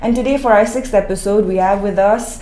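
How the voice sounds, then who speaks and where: A woman at a medium pitch, fairly quick pace and fairly even intonation, with noticeable background noise. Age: young. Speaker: podcast host. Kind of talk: casual chat.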